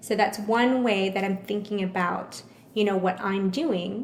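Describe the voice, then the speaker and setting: Over noticeable background noise, a woman with an American accent speaks at a fairly slow pace, her medium pitch held in fairly even intonation. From Houston, Texas. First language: Vietnamese. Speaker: chef and catering business owner. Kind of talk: interview conversation.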